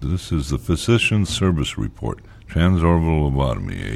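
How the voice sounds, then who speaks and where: A man talks at a moderate pace, his pitch varying ordinarily, with noticeable background noise present. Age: 50s. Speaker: lobotomy survivor. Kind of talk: documentary narration.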